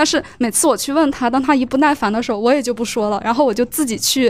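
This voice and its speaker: At a fairly quick pace, a woman talks in a high pitch. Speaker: university student. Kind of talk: audience question at a salon. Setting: live salon with audience.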